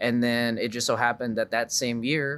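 A man with an American accent speaks in an ordinary speaking voice at a medium pitch, on a very clean recording with a silent background. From US South, Dallas suburbs, Texas. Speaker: musician. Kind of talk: casual chat.

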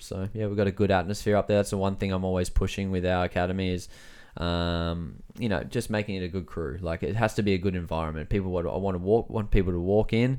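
Speaking at a very fast pace, a man with an Australian accent has a fairly low pitch. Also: very clean recording, silent background. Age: 30s. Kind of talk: casual chat.

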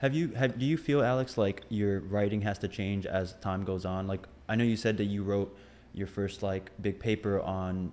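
Speaking at a moderate pace, a man has an ordinary speaking voice, fairly low in pitch, with ordinary pitch variation. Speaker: podcast co-host. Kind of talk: casual chat.

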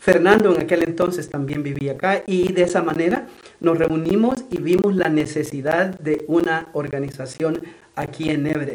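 A man with a fairly high pitch and ordinary pitch variation talks at a moderate pace, with audible room echo and noticeable background noise. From El Salvador. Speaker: nonprofit executive director. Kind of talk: radio interview.

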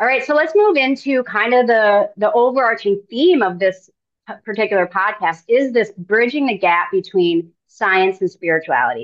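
A normal speaking voice from a woman, fairly high-pitched with lively intonation, at a moderate pace and very even loudness. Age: 40s. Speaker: podcast host and spiritual coach. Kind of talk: interview conversation.

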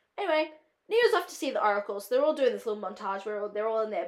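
In an Australian accent, a woman talks in an animated tone with very wide pitch swings. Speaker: film student and podcast host. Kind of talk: casual solo podcast chat. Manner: chatty, filler-heavy, animated.

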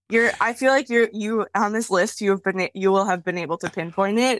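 In a normal speaking voice, a woman with an American accent talks at a medium pitch. Her pitch variation is ordinary, and the sound is dry and close with no echo. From US Midwest, Wisconsin. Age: 30s. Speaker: cartoonist and art educator. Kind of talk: casual chat. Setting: video call.

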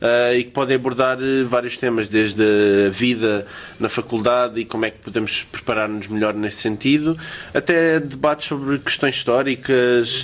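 A man has a normal speaking voice at a medium pitch and a moderate pace. His intonation is fairly even while his loudness swings widely. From Portugal. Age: 20s. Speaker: student podcast host. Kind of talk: casual chat.

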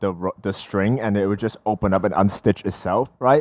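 Dry and close with no echo, this very clean recording with a silent background carries an animated voice in an American accent. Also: man. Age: 20s. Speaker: podcast co-host; HVAC worker and technical school teacher. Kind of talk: casual chat. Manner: animated, laughing often.

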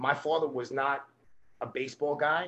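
This man talks with a New York accent in a fairly high pitch. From Brooklyn, New York. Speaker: baseball coach. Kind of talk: interview.

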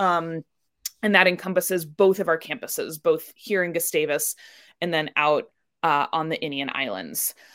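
Her voice is fairly low for a woman. She keeps a moderate pace with ordinary pitch variation. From US Midwest, Indianapolis. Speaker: education program director. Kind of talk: interview conversation.

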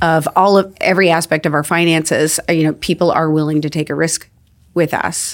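In a very clean recording with a silent background, a speaker with an American accent talks at a moderate pace in a monotone, flat way. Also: woman. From Arizona, Phoenix. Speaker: wedding venue and winery owner. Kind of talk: casual interview chat. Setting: studio.

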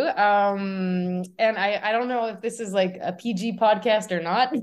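Using a normal speaking voice, a woman talks at a moderate pace with fairly high pitch and ordinary pitch variation. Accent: Canadian. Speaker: artist. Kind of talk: casual interview. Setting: video call.

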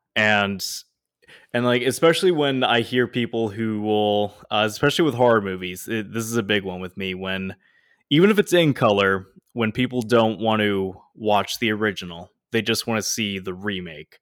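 Recorded very cleanly against a silent background, a man talks at a moderate pace and a fairly low pitch in a normal speaking voice. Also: ordinary pitch variation. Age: 20s. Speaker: podcast co-host. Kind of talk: casual chat.

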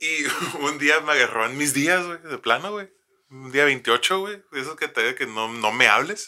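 Against a silent background in a very clean recording, a man talks at a fairly slow pace with a bright, sharp tone. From Mexico, Tijuana. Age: 30s. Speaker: podcast host. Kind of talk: casual storytelling chat. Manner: animated, slangy with fillers.

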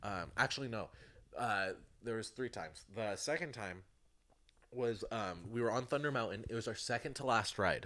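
Pausing often and at length, a man talks at a moderate pace in a bright, sharp tone, his medium pitch rising and falling in an ordinary way. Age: young. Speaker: podcast guest. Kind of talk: casual chat.

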